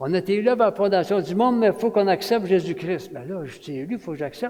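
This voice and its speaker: A high-pitched man speaks at a fairly quick pace in a Quebec accent, with ordinary pitch variation. Noticeable background noise sits behind him. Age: 70s. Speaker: retired pastor, guest preacher. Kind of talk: sermon. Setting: church. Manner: animated.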